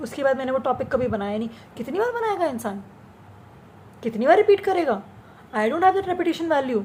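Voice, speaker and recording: An animated woman speaks at a high pitch with very wide pitch swings and a moderate pace. She takes long, frequent pauses over noticeable background noise. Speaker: vlogger. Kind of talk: casual monologue vlog. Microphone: speaking without the usual mic.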